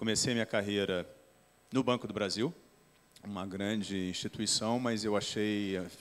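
Intonation stays fairly even as the speaker proceeds at a moderate pace. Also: man. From Brazil, outside São Paulo. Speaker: company president; company president on panel. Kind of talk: panel discussion. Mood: relaxed, light humor. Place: hall. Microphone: handheld.

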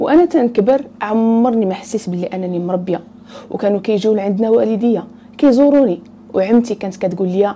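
With light background noise behind her, a woman speaks at a moderate pace with ordinary pitch variation. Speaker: storyteller. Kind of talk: storytime narration. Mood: earnest, personal. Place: home room. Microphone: lapel.

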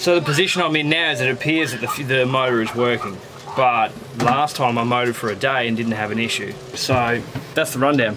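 Noticeable background noise runs behind the recording. A man talks at a fairly quick pace. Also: ordinary pitch variation. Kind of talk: casual vlog explanation. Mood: calm, slightly weary. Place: boat. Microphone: phone near.

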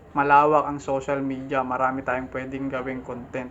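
A man speaks at a moderate pace while noticeable noise sits in the background. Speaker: YouTube reaction vlogger. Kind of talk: reaction video commentary. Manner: animated.

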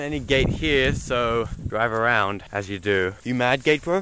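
The pace from this man is moderate, and his pitch varies in an ordinary way. His voice sounds dry, without echo, with light background noise underneath. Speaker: vlogger. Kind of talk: casual vlog chat. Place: open country. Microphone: phone near.

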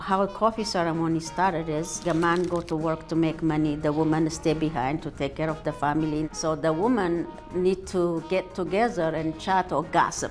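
Over clear music in the background, a woman speaks with fairly even intonation and hardly any pauses. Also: fairly low pitch for a woman, moderate pace. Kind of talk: interview answer. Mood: warm, smiling. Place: cafe. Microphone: lapel.

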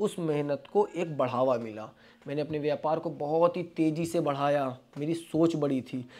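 This is an unremarkable speaking voice from a man with a fairly high pitch. He keeps a moderate pace and fairly even intonation. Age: 20s. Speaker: vlogger, interior panel businessman. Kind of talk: motivational talk to camera. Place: office. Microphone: lapel.

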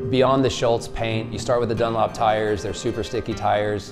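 Clear music plays behind a man who speaks fairly quickly. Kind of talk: interview answer. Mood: calm, proud. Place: studio.

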